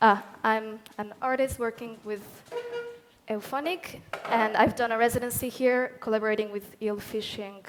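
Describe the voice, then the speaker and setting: Over music in the background, someone with a Catalan accent speaks at a moderate pace with fairly even intonation. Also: woman. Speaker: artist. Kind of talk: panel discussion.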